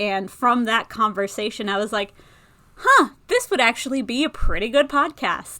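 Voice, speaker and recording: In an American accent, a woman talks at a moderate pace with a bright, sharp tone. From US Northeast, Connecticut. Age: 30s. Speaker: podcast host, freelance writer. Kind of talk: solo podcast talk.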